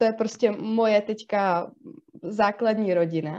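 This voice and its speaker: A woman at a fairly slow pace, medium pitch and ordinary pitch variation. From South Bohemia, Czech Republic. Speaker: psychologist and podcast co-host. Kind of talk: casual chat. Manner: hesitant, many fillers.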